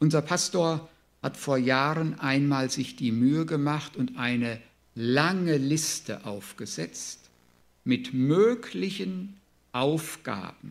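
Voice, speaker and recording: A man's fairly high voice at a very slow pace, with long, frequent pauses. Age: 60s. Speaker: preacher. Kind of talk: sermon.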